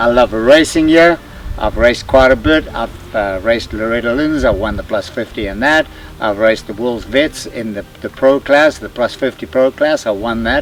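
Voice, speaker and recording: A medium-pitched male voice amid noticeable background noise. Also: ordinary pitch variation, moderate pace. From South Africa. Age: 70s. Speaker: veteran motocross racer. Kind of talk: casual interview.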